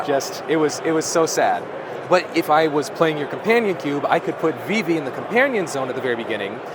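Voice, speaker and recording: A man's fairly high voice moves with lively intonation at a fairly quick clip, while noticeable background noise carries on behind him. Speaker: cube content creator, interviewer. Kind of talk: convention interview, casual talk.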